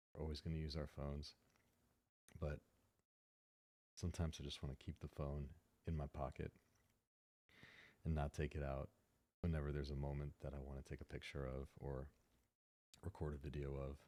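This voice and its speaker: A soft-spoken man with a very deep, low pitch and a dark, mellow tone talks at a fairly quick pace in a monotone, flat intonation, with long, frequent pauses. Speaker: tech ASMR YouTuber. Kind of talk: ASMR unboxing and review.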